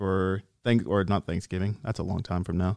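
In a plain, everyday voice, a man talks at a fairly quick pace and fairly low pitch on a very clean recording with a silent background. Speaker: soldier program representative. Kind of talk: casual chat.

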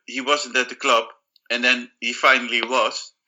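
This man has an unremarkable speaking voice. His pitch sits in the medium range. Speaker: podcast co-host.

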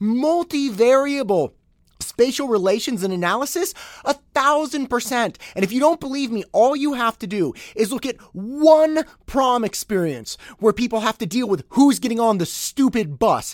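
Speaking with an animated tone and lively intonation at an extremely high pitch, the man sounds dry and close with no echo on a very clean recording with a silent background. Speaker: podcast host. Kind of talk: angry comedic rant, mock-outraged and sarcastic, ironic tirade against a toy ad. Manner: animated, exasperated, sarcastic, fast and emphatic with comic indignation; conversational, storytelling with quoted voices and self-interrupting asides.

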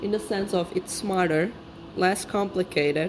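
A woman's fairly low voice with a non-native accent, fairly slow pace, and ordinary pitch variation, over noticeable background noise. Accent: foreign. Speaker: podcast host. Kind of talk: solo monologue. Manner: casual, rambling.

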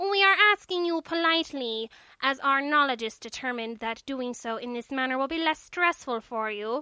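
In a put-on character voice, a female-sounding speaker talks high-pitched and nasal at a moderate pace, on a very clean recording with a silent background. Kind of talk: comic alien. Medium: read story. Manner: formal, politely menacing, pompous.

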